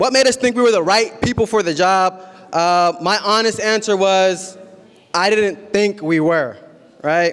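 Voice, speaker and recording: Speaking at a fairly slow pace, a man with a Midwestern US accent has a high voice. His pitch varies in an ordinary way. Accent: American Midwest English. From Columbus, Ohio, US (Somali Bantu family, born in Kenya). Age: 20s. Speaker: community organizer, nonprofit founder. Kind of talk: public speech.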